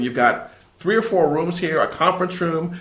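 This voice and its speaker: A man's fairly high voice at a fairly quick pace, with noticeable background noise and audible room echo. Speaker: podcast host. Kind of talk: podcast interview. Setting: guest's office.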